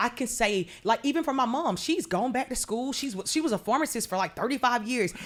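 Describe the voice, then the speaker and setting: Speaking at a fairly quick pace with an American accent, a woman with a high pitch uses lively intonation. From Georgia, US South. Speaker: pastor. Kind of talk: interview. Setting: church.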